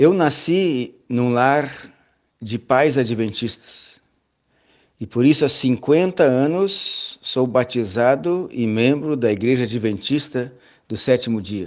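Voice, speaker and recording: The man's intonation is lively. He speaks at a very slow pace. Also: medium pitch for a man. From southern Brazil, Rio Grande do Sul (Pelotas). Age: 60s. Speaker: church elder and seminar lecturer. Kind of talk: lecture. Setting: online seminar.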